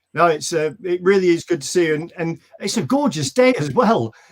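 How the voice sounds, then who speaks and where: A high-pitched man with a slight northern English accent talks fairly quickly, his intonation lively. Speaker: local show host, military veteran. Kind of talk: casual interview. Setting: video call.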